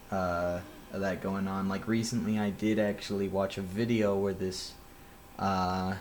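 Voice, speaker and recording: Amid audible room echo, a man speaks fairly slowly in a fairly low pitch with monotone, flat intonation. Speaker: vlogger. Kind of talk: personal monologue. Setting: outdoors near a police department. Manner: halting, many fillers.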